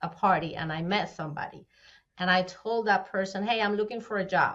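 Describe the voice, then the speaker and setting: Speaking with a Spanish accent, a woman uses a bright, sharp tone at medium pitch with ordinary pitch variation. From Venezuela. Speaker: fractional CFO. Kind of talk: podcast interview answer.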